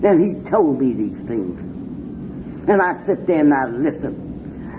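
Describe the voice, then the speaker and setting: With an American accent, a woman makes very wide pitch swings over noticeable background noise. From Washington D.C. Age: 60s. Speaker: recovering addict speaker. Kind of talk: recovery meeting talk. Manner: animated.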